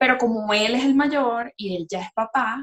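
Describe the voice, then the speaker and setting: A woman talks at a fairly high pitch in a somewhat breathy voice. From Venezuela, Maracaibo. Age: 30s. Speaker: podcast co-host. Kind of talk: casual chat.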